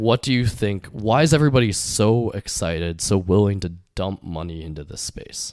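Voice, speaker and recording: On a very clean recording with a silent background, a man uses an ordinary speaking voice at a fairly low pitch. He keeps a moderate pace with hardly any pauses and big swings in loudness. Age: 20s. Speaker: podcast host, venture investor. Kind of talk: casual chat.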